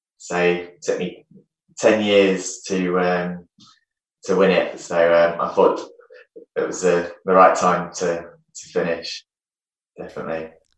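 A man with an English accent speaks at a very slow pace, pausing long and often. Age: 30s. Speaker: retired taekwondo champion. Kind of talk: casual interview chat. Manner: halting.

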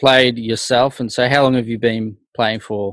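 A man's medium-pitched voice with an Australian accent, fairly even intonation and a fairly slow pace, on a very clean recording with a silent background. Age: 30s. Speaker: podcast host. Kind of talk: casual interview.

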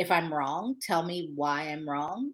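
A woman's ordinary speaking voice, fairly low-pitched, at a moderate pace, in a very clean recording with a silent background. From Ohio. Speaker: journalism fellowship director. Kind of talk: interview.

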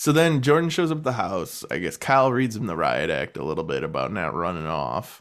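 A man talks fairly quickly in a fairly low voice with vocal fry. His pitch swings very widely in a playful tone. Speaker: podcast host. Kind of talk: casual banter about a TV show. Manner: joking, playful.

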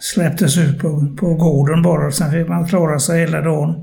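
With audible room echo, a man at a fairly high pitch speaks in monotone, flat intonation at a fairly slow pace. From Gothenburg, Sweden (Hisingen). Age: 80s+. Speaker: care home resident. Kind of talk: casual interview. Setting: short-term care home. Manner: halting.

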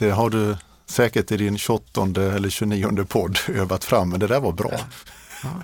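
A man's fairly low voice at a fairly slow pace, with fairly even intonation. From Småland, Sweden (Hovmantorp, Kronoberg). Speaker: business executive. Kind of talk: interview. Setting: studio.

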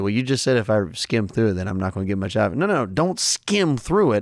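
A man speaks in an enthusiastic tone, his pitch swinging very widely. The recording is very clean, with a silent background. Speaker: Bible teacher and podcast host. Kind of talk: Bible teaching lesson.

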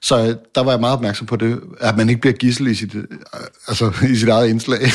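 At a moderate pace, a man speaks in a plain, everyday voice, medium in pitch with fairly even intonation. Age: 50s. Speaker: tv producer. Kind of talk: casual banter.

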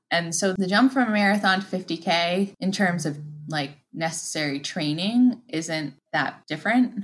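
A woman with a plain, everyday voice, fairly low in pitch, lively in intonation and fairly slow, against a quiet background. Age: 40s. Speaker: ultramarathon runner. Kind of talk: interview.

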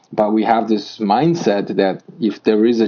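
Fairly low-pitched man with a Polish accent and ordinary pitch variation. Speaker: amateur mountain climber. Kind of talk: interview.

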